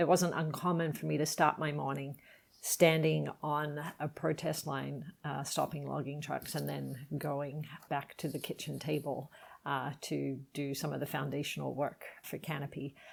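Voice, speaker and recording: A woman speaks slowly with a very deep, low pitch, vocal fry, and monotone, flat intonation. The recording is very clean, with a silent background. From Australia, Sydney. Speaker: environmental nonprofit founder. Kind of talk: podcast interview.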